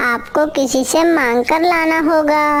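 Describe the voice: A cartoonish character voice over light background noise. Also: female-sounding voice, high pitch for a woman.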